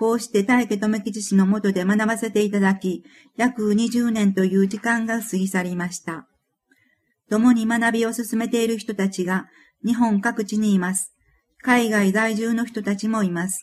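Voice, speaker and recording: Somewhat breathy and fairly high-pitched, a woman talks with monotone, flat intonation. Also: moderate pace. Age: 50s. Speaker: author reading own book. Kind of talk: reading aloud.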